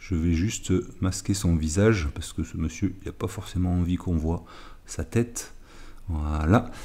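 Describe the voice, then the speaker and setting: A man speaks with a very deep, low pitch. His voice is somewhat breathy, with a dark, mellow tone. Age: 50s. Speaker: golf coach. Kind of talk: tutorial. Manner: halting.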